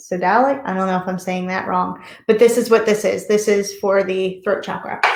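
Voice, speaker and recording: A woman with an American accent, medium pitch, a moderate pace, and audible room echo. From US, Delaware. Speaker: reiki master and yoga teacher. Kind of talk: online workshop talk.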